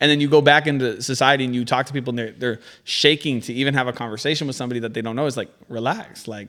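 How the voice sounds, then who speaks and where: A man talks loudly at a very fast pace, barely pausing, with a bright, sharp tone at a medium pitch. His intonation stays fairly even, and the recording is very clean with a silent background. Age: 20s. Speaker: rapper selling mixtapes. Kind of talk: casual chat.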